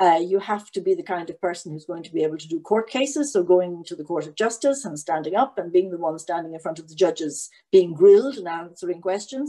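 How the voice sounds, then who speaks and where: In an Irish accent, a dark, mellow voice races at a very fast pace with hardly any pauses, lively intonation and big swings in loudness over a quiet background. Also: woman. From Ireland. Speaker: EU lawyer; webinar panelist. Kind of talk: panel talk. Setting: online event. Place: home room. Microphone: webcam.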